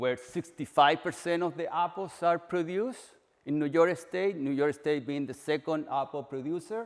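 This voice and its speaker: A fairly high-pitched man with a strong Chilean accent, moderate pace and ordinary pitch variation. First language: Spanish. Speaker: agricultural extension researcher. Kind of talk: presentation. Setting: orchard walk event.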